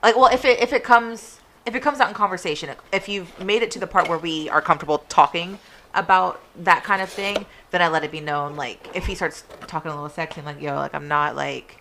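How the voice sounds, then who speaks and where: A woman with a fairly low pitch talks very fast with lively intonation and big swings in loudness. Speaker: podcast co-host. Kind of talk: casual chat.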